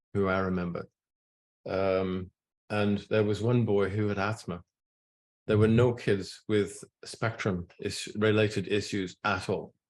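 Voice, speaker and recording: This man has a fairly low pitch and speaks with a Scottish accent. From Scotland. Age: 70s. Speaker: nutrition scientist. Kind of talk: talk to an audience. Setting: room with audience. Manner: halting.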